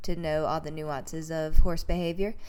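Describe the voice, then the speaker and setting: The speaker keeps a monotone, flat intonation at a moderate pace while music plays in the background. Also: woman. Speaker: horse trainer. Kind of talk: instructional talk to camera.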